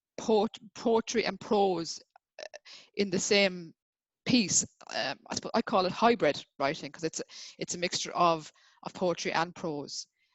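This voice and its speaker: With an Irish accent, a woman of medium pitch and ordinary pitch variation speaks with long, frequent pauses. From Ireland. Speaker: writer. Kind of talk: interview. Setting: video call. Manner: fast; halting.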